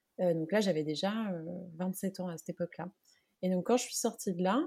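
Her dark, mellow tone sits at a medium pitch, and this woman's voice shows ordinary pitch variation. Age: 30s. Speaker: personal branding coach. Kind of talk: casual interview.

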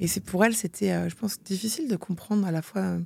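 Her voice somewhat breathy and dark, mellow in tone, a woman speaks at a fairly quick pace. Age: 40s. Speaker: entrepreneur and mother. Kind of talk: interview. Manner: animated.

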